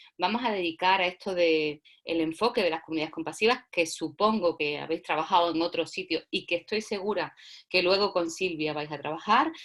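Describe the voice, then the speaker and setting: A woman with a normal speaking voice talks at a fairly quick pace and a fairly low pitch, with ordinary pitch variation. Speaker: workshop facilitator. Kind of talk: lecture.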